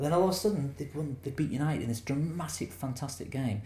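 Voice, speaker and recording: A man speaks very fast with a dark, mellow tone and lively intonation. His voice is somewhat breathy, and the room echo is audible. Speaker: documentary director. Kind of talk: interview about his film.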